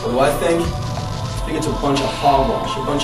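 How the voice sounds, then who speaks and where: A man speaks over loud background music. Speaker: actor playing an investigator. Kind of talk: mock man-on-the-street interview answer. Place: hall. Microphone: camera far.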